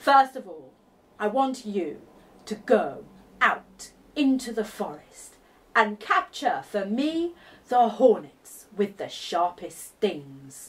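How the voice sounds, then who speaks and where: A very slow, put-on character voice from a woman at a fairly high pitch. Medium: read story. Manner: mocking, grand.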